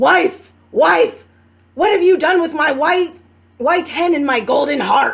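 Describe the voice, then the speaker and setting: Growling in a put-on character voice, a woman speaks at a fairly slow pace and an extremely high pitch. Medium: read story. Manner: growling, booming.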